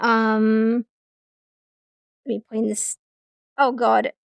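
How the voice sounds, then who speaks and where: A woman with an English accent speaks at a very slow pace in a fairly high pitch. The recording is very clean with a silent background, and the sound is dry and close with no echo. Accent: received pronunciation. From England. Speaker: streamer. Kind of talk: casual chat. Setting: live stream with chat. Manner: animated.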